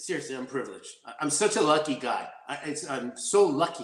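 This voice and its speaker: With an animated tone, a man keeps to a fairly quick pace. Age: 40s. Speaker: martial artist and actor. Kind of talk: interview.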